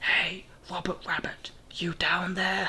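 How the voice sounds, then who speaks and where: The speaker whispers in a put-on character voice at a fairly slow pace. The voice is raspy. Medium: read story. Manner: menacing.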